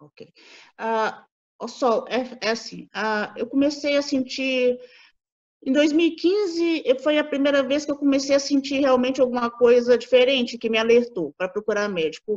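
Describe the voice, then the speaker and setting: A high-pitched woman's voice at a moderate pace with ordinary pitch variation. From Brazil, Minas Gerais (Belo Horizonte). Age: 40s. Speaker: patient sharing testimony. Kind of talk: interview testimony.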